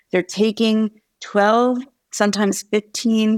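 A woman with a medium-pitched voice speaks at a fairly slow pace, recorded dry and close with no echo. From New York and New Jersey. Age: 50s. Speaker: psychology professor. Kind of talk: interview conversation.

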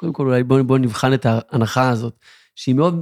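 On a very clean recording with a silent background, the sound is dry and close with no echo, and the tone is dark and mellow. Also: man. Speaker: podcast co-host. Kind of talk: interview; casual chat. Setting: at guest's home.

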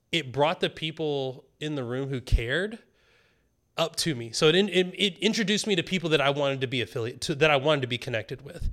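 Very fast delivery with lively intonation, on a very clean recording with a silent background. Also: man, fairly high pitch for a man. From US South (rural). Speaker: developer advocate, military veteran. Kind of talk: casual interview chat.

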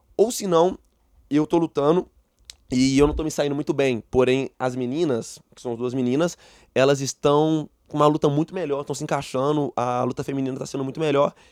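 A man with a Minas Gerais accent at a fairly quick pace, fairly even in intonation but with big swings in loudness. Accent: Brazilian Portuguese, mineiro. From Brazil, Belo Horizonte (Minas Gerais). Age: 20s. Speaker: taekwondo athlete. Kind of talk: interview.

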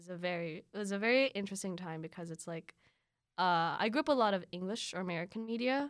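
On a very clean recording with a silent background, a woman with a Filipino accent talks at a very fast pace in a medium pitch, her tone animated, her intonation lively, and her loudness swinging widely. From Philippines. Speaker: student and polyglot. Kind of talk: casual interview chat. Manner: animated, laughs often.

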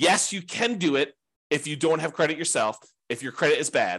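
Against a quiet background, a man with an unremarkable speaking voice talks at a fairly quick pace with lively intonation. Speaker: real estate investing teacher. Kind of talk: class lecture.

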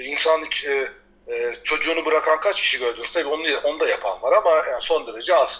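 Noticeable background noise surrounds the recording. A man talks at a moderate pace. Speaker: paraglider and sailor living abroad. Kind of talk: casual interview. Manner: hesitant, many fillers.

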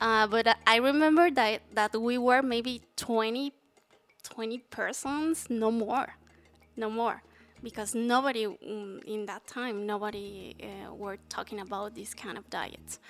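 Speaking fairly slowly with a Spanish accent, a woman has a fairly high pitch, ordinary pitch variation and big swings in loudness. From Mexico City. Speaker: fasting advocate. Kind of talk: interview. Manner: halting.

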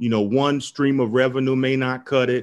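Speaking fairly quickly with an American accent, a man has an ordinary speaking voice at a medium pitch. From US South, Tampa, Florida. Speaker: entrepreneur. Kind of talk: interview.

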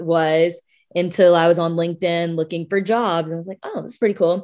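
A woman with a Southern US accent speaks at a fairly low pitch against a quiet background. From US South, Birmingham, Alabama. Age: 20s. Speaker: public relations specialist. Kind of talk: interview conversation.

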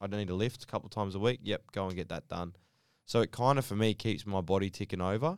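Speaking at a fairly quick pace, a man with an Australian accent uses a fairly low pitch and ordinary pitch variation on a very clean recording with a silent background. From Western Sydney, Australia. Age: 30s. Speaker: professional basketball player. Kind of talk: casual interview chat. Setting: studio.

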